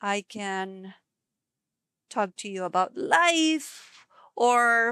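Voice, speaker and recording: In a dry, close sound with no echo, a woman with a non-native accent speaks in a relaxed tone that is also bright and sharp. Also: very clean recording, silent background. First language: not English. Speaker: ceramic painter and live streamer. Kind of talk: casual live-stream chat while painting. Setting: live stream. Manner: relaxed, with pauses and word searching.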